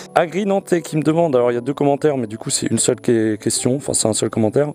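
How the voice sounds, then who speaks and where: Over noticeable background noise, a man talks very fast at a medium pitch. His intonation is lively. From eastern France (Nancy). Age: 20s. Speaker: motovlogger. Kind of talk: casual Q&A vlog. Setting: outdoors at a scenic viewpoint.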